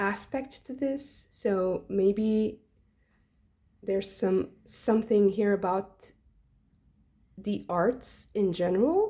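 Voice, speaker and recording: A woman's dark, mellow, somewhat breathy voice at a very slow pace, with long and frequent pauses, on a very clean recording with a silent background. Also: medium pitch for a woman, ordinary pitch variation. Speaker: tarot reader. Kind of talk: tarot reading. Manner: hesitant, many fillers; modified, held-back delivery.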